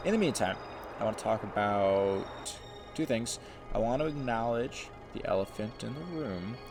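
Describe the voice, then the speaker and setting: Music plays in the background with audible room echo as a man speaks at a medium pitch and a moderate pace. His intonation is lively, and he leaves long, frequent pauses. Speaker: gaming YouTuber. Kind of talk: gameplay commentary, casual. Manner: casual, hesitant with fillers.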